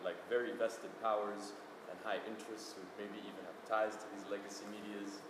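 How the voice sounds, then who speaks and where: There is audible room echo and noticeable background noise. A man speaks fairly low with monotone, flat intonation. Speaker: audience member asking a question. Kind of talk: audience question. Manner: loud.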